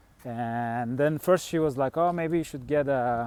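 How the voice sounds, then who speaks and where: With a Turkish accent, a man speaks at a moderate pace in a dark, mellow tone. His pitch is fairly high, with ordinary variation. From Turkey. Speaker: fasting vlogger. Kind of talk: casual vlog monologue. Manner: halting, many fillers.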